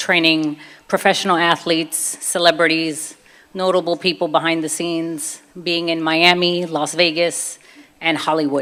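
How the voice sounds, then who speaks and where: In a Brooklyn accent, the speaker keeps a moderate pace and a monotone, flat intonation. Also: woman, fairly low pitch for a woman. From US, Brooklyn, New York. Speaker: convert telling her faith story. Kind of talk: testimony.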